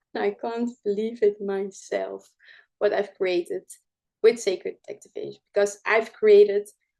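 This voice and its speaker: A woman speaks with a Dutch accent at a fairly slow pace. The background is quiet. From Netherlands. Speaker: spiritual healing teacher. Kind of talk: live show presentation. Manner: halting, many fillers.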